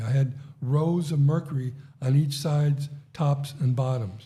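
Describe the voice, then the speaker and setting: This man's voice sits fairly high and comes across as somewhat breathy. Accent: American. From United States. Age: 60s. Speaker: podcast host. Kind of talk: casual chat.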